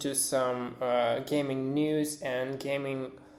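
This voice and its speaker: The pace is very slow. Noticeable background noise is present. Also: man. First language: not English. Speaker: independent game developer. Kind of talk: recorded anniversary message. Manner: halting, many filler words.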